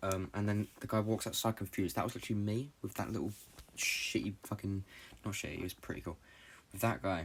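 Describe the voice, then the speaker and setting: A man talks at a very fast pace with a British accent. His pitch varies in an ordinary way. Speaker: podcast host. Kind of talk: casual monologue. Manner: halting.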